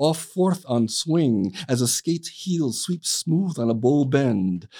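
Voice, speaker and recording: Lively intonation moves through a dark, mellow tone. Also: man. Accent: American. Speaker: poet. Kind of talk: casual chat. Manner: halting.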